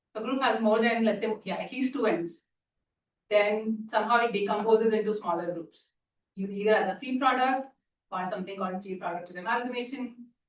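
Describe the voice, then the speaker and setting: A woman with a fairly high pitch and ordinary pitch variation talks at a fairly quick pace, her loudness swinging widely. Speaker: mathematics lecturer. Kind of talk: lecture. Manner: fast.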